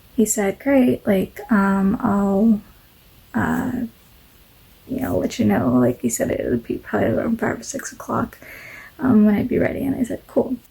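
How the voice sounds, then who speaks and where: A woman mumbles at a moderate pace. She takes long, frequent pauses. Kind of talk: casual talk to camera. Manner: mumbles, many fillers.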